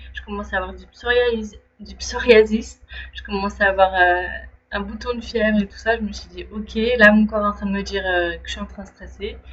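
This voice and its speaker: Her loudness swinging widely, a woman talks at a fairly quick pace. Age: 30s. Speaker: trainee life coach. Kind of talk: personal video diary, casual monologue. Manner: hesitant, many fillers and restarts.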